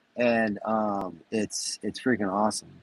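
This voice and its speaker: The man speaks with a fairly low pitch. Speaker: podcast host. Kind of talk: casual chat. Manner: loud; animated.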